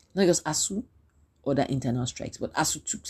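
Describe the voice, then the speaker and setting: Over a quiet background, a woman with a very deep, low pitch speaks in an animated tone, somewhat breathy and with lively intonation. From Nigeria. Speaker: podcaster. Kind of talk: solo podcast monologue.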